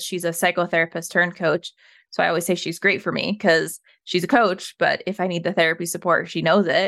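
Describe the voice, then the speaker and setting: With an American accent, a woman speaks at a fairly quick pace in a bright, sharp tone and fairly low pitch. Her intonation stays fairly even, and the recording is very clean with a silent background. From Colorado, US. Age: 30s. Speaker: trauma survivor sharing her story. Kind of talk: casual interview conversation.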